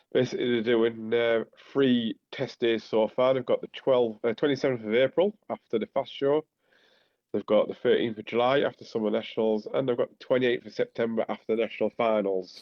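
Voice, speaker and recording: Fairly quick pace and fairly even intonation from a man with a Teesside accent. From northern England, Teesside. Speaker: podcast co-host. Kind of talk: casual chat.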